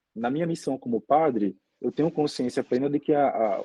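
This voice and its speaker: At a fairly quick pace, a man speaks in a dark, mellow tone at medium pitch with ordinary pitch variation, in a dry, close sound with no echo. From Brazil, Aracaju, Sergipe. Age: 20s. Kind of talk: interview conversation.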